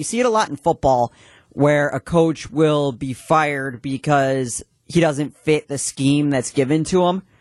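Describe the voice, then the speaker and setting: A man with a plain, everyday voice and a fairly high pitch, at a moderate pace, against a quiet background, in a dry, close sound with no echo. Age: young. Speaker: radio show producer. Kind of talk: live radio talk show. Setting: radio studio.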